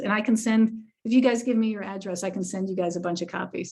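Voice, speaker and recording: Somewhat breathy woman, fairly high pitch. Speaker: family medicine physician. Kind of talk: lecture Q&A.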